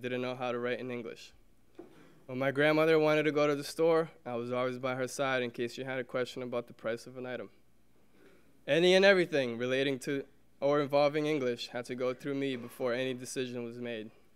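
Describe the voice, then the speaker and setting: Talking at a very fast pace, a man holds a medium pitch and fairly even intonation. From Brazil, raised in Somerville, Massachusetts. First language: Portuguese. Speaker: alumnus speaker, teacher. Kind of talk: prepared speech.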